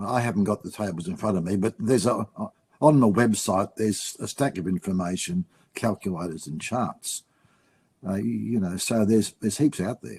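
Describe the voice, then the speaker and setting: Speaking at a fairly quick pace in an Australian accent, a man with a fairly low pitch and ordinary pitch variation sounds dry and close, with no echo. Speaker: finance writer. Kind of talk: webinar panel discussion.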